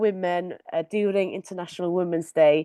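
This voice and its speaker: A woman speaks with a dark, mellow tone. The sound is dry and close with no echo, over a quiet background. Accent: Welsh. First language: Welsh. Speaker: community artist. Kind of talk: webinar presentation. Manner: hesitant, many fillers.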